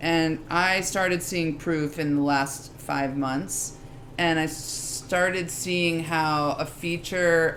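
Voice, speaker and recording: A woman with a very deep, low pitch speaks amid noticeable background noise and audible room echo. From New York. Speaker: legal operations executive. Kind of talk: live interview on stage. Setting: stage with live audience. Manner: animated.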